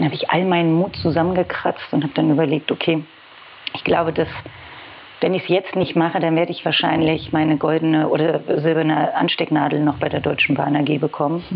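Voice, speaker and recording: Over noticeable background noise, a woman talks at a fairly quick pace in a very deep, low pitch with monotone, flat intonation. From Berlin. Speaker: head of press and public relations. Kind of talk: casual interview chat.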